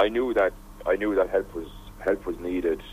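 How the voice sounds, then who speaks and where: An Irish-accented man speaks at a moderate pace. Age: 20s. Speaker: radio presenter and former teacher, humanitarian volunteer. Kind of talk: radio interview.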